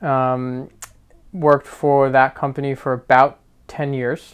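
This man has an American accent and a medium pitch. His intonation is monotone and flat. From New Jersey. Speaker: podcast co-host and travel business owner. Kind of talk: casual chat.

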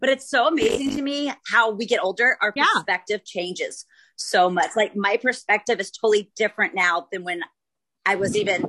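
A woman's fairly high, bright, sharp voice with lively intonation at a moderate pace. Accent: American. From Dallas, Texas. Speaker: podcast host.

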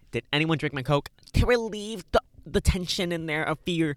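A man's voice comes through dry and close, with no echo. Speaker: podcast co-host. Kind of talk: casual chat. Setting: in a car. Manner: loud.

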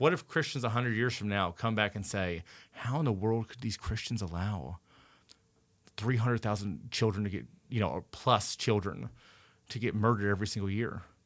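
A man with an American accent in a normal speaking voice, at a fairly low pitch with ordinary pitch variation and a fairly quick pace, on a very clean recording with a silent background. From Indiana, US Midwest. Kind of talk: casual chat.

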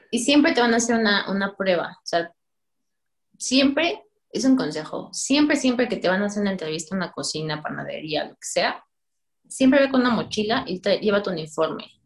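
A woman speaks at a fairly quick pace and medium pitch, with very wide pitch swings. Her voice is somewhat breathy, with big swings in loudness. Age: 20s. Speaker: pastry chef. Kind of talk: casual chat.

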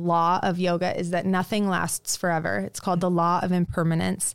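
In an American accent, a woman with an unremarkable speaking voice talks at a moderate pace and medium pitch on a very clean recording with a silent background. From Nebraska, US (Lincoln). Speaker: yoga teacher and studio founder. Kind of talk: interview conversation.

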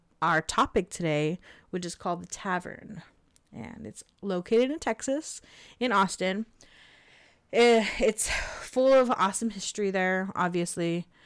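With a Californian accent, a woman speaks at a medium pitch and a fairly slow pace, with long, frequent pauses, ordinary pitch variation and big swings in loudness, on a very clean recording with a silent background. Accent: Californian American. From Southern California. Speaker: podcast co-host. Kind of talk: casual chat storytelling.

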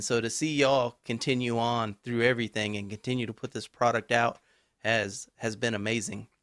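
Recorded very cleanly against a silent background, a man with an ordinary speaking voice talks at medium pitch with fairly even intonation, and the sound is dry and close with no echo. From Texas. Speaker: podcast host. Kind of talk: interview.

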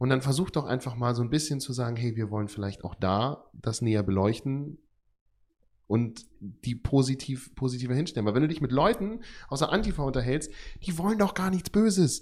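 In a very clean recording with a silent background, a man speaks at a fairly quick pace in a medium pitch, somewhat breathy and with lively intonation. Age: 20s. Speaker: care worker and podcast co-host. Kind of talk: casual chat.

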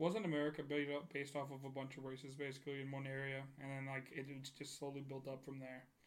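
Very fast speech in a monotone, flat intonation comes with audible room echo. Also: man, fairly high pitch for a man. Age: 20s. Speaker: podcast host. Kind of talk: casual chat.

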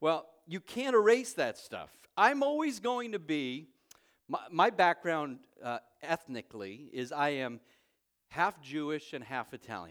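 The pitch swings very widely in an American accent, with big swings in loudness. The sound is dry and close with no echo, on a very clean recording with a silent background. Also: man, high pitch for a man, fairly slow pace. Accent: Long Island New York, lighter now. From Long Island, New York. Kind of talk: sermon. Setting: church.

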